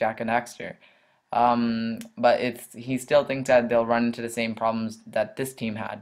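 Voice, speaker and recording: The man's voice has a medium pitch. His intonation stays flat and monotone. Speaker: gaming news youtuber. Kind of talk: news commentary. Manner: fast; halting, many fillers.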